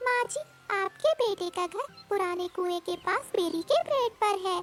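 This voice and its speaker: A woman puts on a squeaky, cartoonish character voice. She goes at a moderate pace. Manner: respectful, addressing elders politely.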